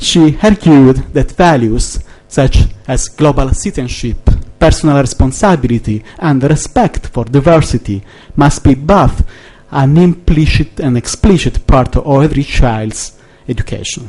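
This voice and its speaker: A man talks at a fairly high pitch with ordinary pitch variation. Noticeable background noise sits behind him. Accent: Italian. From Italy. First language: Italian. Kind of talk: conference speech. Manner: halting, hesitant.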